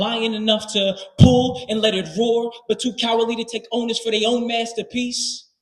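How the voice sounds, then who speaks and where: A man speaks at a high pitch and a moderate pace. Music sits in the background. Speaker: slam poet. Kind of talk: live spoken word poetry performance. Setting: live stage with audience. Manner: commanding, heartfelt, rhythmic.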